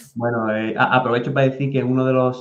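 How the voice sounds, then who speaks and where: This is a man speaking at a medium pitch. He talks with an Andalusian accent. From Andalusia, Spain. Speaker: podcast host. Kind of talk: interview.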